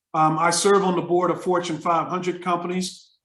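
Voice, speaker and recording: Speaking at a fairly quick pace, a man with an American accent has a high pitch. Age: 60s. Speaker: retired business professor. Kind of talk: interview. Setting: video call.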